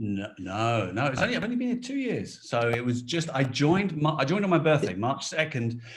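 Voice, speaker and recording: A man with a British accent, fairly high in pitch, with very wide pitch swings, a fairly quick pace and hardly any pauses, amid noticeable background noise and audible room echo. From Britain. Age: 40s. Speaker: toy company design director. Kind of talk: interview. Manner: talkative.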